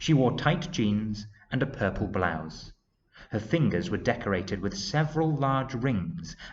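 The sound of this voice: Lively intonation marks an unforced reading voice, heard against a quiet background.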